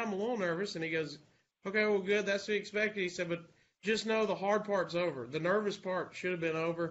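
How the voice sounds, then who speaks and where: The speaker has a strong Southern accent. The intonation stays fairly even. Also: man. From US South, Alabama. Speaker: radio host. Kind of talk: casual chat.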